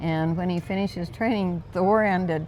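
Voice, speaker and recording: Music plays in the background as a woman speaks in an American accent. Her pitch is medium, with ordinary pitch variation. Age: 80s+. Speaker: skydiver. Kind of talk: interview answer.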